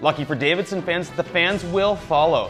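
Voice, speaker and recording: A man is speaking. Music plays in the background. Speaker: sports anchor. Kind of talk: sports news broadcast read. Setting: studio.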